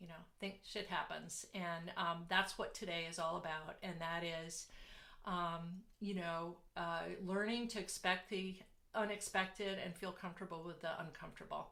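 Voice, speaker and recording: In a room with audible echo, a woman with a bright, sharp tone talks at a moderate pace in a monotone, flat intonation. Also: fairly low pitch for a woman. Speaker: business coach. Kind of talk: online workshop talk. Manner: halting, many fillers.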